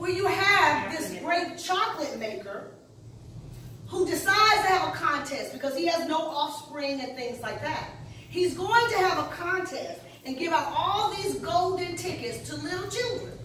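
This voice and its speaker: A woman uses a raised, projected voice at a moderate pace. Audible room echo and light background noise surround her. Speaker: pastor. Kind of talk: sermon. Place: church. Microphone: camera far.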